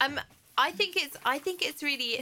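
Someone with an English accent speaks against noticeable background noise. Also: woman. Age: 30s. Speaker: head of broadcast and podcast producer, new mother. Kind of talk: casual chat. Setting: studio.

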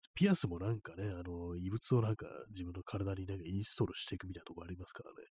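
A man at a very fast pace, very deep and low in pitch, somewhat breathy, with fairly even intonation and big swings in loudness. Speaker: livestream radio host. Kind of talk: casual solo talk reading listener comments. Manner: rambling, many fillers.

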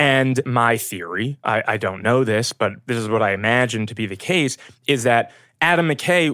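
With a New York accent, a man talks at a fairly slow pace and medium pitch, his bright, sharp tone showing ordinary pitch variation in a dry, close sound with no echo on a very clean recording with a silent background. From New York, Brooklyn. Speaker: film location manager. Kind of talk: casual chat. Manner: animated.

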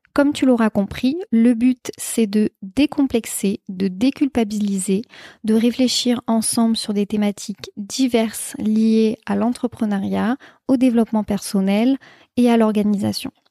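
Speaking at a fairly slow pace, a woman has a dark, mellow tone, a fairly high pitch, somewhat breathy delivery, and fairly even intonation. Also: dry, close sound with no echo. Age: 20s. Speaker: podcast host, entrepreneur. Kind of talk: solo podcast monologue.

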